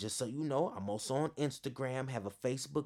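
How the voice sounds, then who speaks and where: A man with an American accent talks at a fairly quick pace and a medium pitch in a plain, everyday voice. The recording is very clean, with a silent background. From Northern California, East Bay. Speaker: podcast host, sports fan and motivational speaker. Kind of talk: casual monologue.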